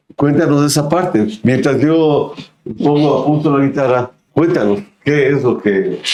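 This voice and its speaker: In a plain, everyday voice, a man speaks fairly slowly at a fairly high pitch, his loudness very even and his pitch variation ordinary. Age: 60s. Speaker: podcast host. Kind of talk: casual interview chat.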